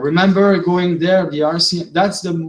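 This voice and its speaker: A man speaks in a Quebec accent. His voice is high-pitched. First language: French. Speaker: vlogger. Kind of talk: monologue. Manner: halting.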